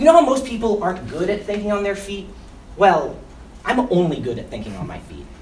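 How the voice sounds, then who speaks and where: With an American accent and an animated, playful tone, the speaker moves at a fairly quick pace with very wide pitch swings and big swings in loudness over noticeable background noise. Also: man, high pitch for a man. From West Philadelphia, US. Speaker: behavior interventionist at a school. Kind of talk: spoken word poem, performed for staff. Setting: in front of school staff. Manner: comedic, self-interrupting, laughing.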